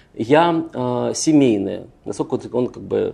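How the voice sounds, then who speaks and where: A man speaks at a medium pitch with ordinary pitch variation. It is a plain, everyday voice. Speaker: political psychologist. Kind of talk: lecture. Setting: stage with audience.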